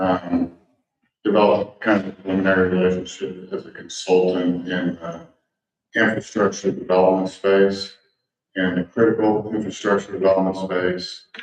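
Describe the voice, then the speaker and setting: A man speaks at a moderate pace with a very deep, low pitch and monotone, flat intonation. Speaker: infrastructure consultant. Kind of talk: public comment at meeting. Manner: soft-spoken; halting.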